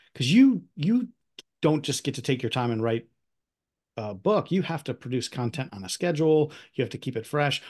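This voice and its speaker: In a Midwestern American accent, a man speaks at a moderate pace with a medium pitch and a somewhat breathy voice against a quiet background. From US Midwest, Northwest Ohio (Toledo area). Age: 50s. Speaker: podcast host. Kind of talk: casual interview.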